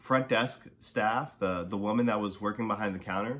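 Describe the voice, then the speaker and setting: A normal speaking voice from a man, fairly low in pitch, at a moderate pace with fairly even intonation. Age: 30s. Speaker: podcast host. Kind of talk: casual monologue. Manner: casual, many filler words.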